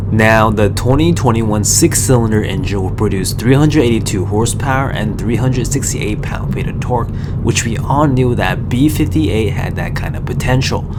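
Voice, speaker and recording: A man at a medium pitch, fairly quick pace and ordinary pitch variation, with hardly any pauses, audible room echo and noticeable background noise. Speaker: car reviewer. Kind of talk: scripted narration.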